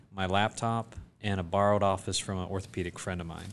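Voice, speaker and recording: Fairly low-pitched male voice in a flat monotone, with a quiet background. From US South, South Georgia. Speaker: foot and ankle surgeon. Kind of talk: casual interview.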